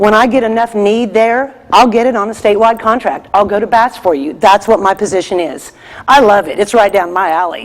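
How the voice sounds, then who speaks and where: A woman speaks at a fairly quick pace in a medium pitch, with noticeable background noise. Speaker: state purchasing vendor specialist. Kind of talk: conference presentation. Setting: conference stage with audience. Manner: loud.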